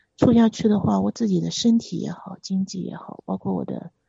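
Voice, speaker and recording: A woman talks at a moderate pace. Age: 40s. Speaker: caller seeking relationship advice. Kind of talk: phone-in confession. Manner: halting.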